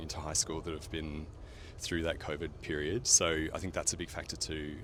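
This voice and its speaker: Here a man speaks with an Australian accent. He keeps a moderate pace. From rural Australia. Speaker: paediatrician. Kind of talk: casual street interview. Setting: outdoors on the street. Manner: hesitant, many fillers.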